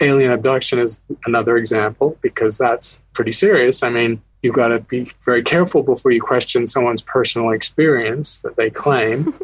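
A man with a medium pitch speaks at a fairly quick pace, somewhat breathy, with fairly even intonation. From UK and US, born in Scotland. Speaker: astronomy professor. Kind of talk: interview.

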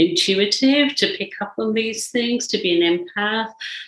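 A woman's medium-pitched voice with very wide pitch swings at a moderate pace. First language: Indian language. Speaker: psychologist and mentor. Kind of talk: interview conversation.

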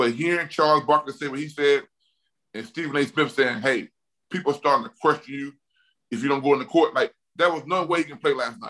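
A man's bright, sharp voice in an Alabama accent, very fast, with ordinary pitch variation and big swings in loudness. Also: fairly high pitch for a man. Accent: Southern US (Alabama). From US South, Mobile, Alabama. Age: 40s. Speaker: retired NFL offensive lineman. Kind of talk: casual interview. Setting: video call.

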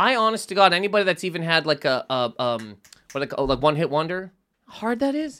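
At a fairly quick pace, a man speaks in a high voice that swings very widely in pitch. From Nova Scotia, Canada. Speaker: comedian. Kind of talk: casual comedic banter. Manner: animated, fast storyteller.

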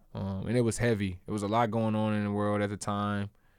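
A man's fairly low voice with an American accent, moderate pace, and monotone, flat intonation, on a very clean recording with a silent background. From US South, South Carolina (Columbia). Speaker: professional basketball player. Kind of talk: casual interview. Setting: studio.

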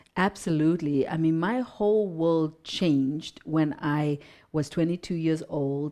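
The background is quiet. A woman speaks at a fairly slow pace in a very deep, low pitch with a dark, mellow tone. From Zimbabwe. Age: 50s. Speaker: mindset mentor and speaker. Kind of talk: casual interview chat.

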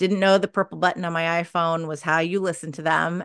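Here is an ordinary speaking voice with fairly even intonation. The background is quiet. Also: woman. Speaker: podcast PR agency founder and author. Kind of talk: casual interview chat.

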